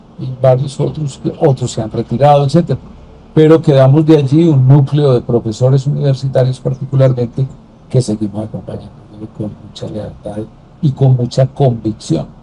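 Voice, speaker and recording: Somewhat breathy and dark, mellow in tone, a man's medium-pitched voice moves at a moderate pace with fairly even intonation and big swings in loudness. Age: 70s. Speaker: former senator and political commentator. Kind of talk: interview conversation.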